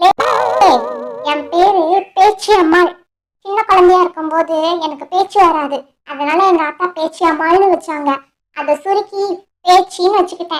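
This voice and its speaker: A cartoonish character voice sounds female, pitched extremely high. It moves at a fairly slow pace. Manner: blunt, calls people "le".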